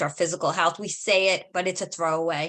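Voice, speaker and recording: Bright and sharp in tone, a woman's voice sits fairly low in pitch. She speaks with an American accent at a fairly quick pace. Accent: Brooklyn accent, audible when talking fast. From New York, Brooklyn. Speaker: podcast host. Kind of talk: podcast interview.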